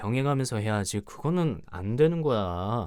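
A man's dark, mellow voice at a fairly slow pace with very wide pitch swings, in a very clean recording over a silent background. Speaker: ASMR creator. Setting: ASMR recording, close microphone. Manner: soft, close-mic, tender and coaxing, playfully scolding; animated, teasing, with laughs and coos.

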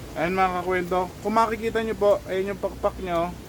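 The man's voice sits high. There is noticeable noise in the background. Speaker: pigeon racing vlogger. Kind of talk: casual vlog narration. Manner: excited, halting.

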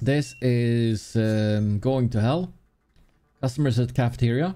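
A man with a Swedish accent speaks in a dark, mellow tone. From Sweden. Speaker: gaming streamer. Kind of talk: live gameplay commentary. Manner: animated. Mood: playful, lightly frantic. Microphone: studio mic.

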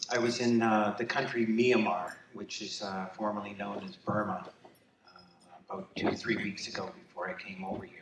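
Over light background noise and audible room echo, a man talks at a moderate pace and a fairly low pitch, with ordinary pitch variation and big swings in loudness. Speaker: son accepting honor for late father. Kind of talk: acceptance speech. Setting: gala stage with audience. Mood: warm, emotional. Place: hall.

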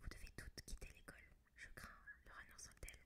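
The speaker is whispering. The pace is fairly quick. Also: woman. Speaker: ASMR reader. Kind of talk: whispered book reading for ASMR. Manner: whispered, soft. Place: home room. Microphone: studio mic.

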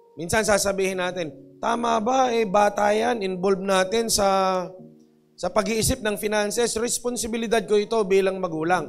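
Faint music sits in the background as a man talks with a high pitch. He keeps a moderate pace and fairly even intonation. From Philippines. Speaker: pastor. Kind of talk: sermon. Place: church. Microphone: handheld.

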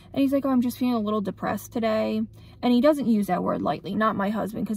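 A somewhat breathy voice with ordinary pitch variation, dry and without echo. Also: woman. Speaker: vlogger. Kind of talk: casual vlog chat. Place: car. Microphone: phone near.

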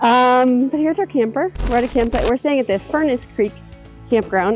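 A woman speaks at a moderate pace. Faint music plays in the background, and the sound is dry with no echo. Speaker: travel vlogger. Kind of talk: casual vlog chat. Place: open country. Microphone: phone near.

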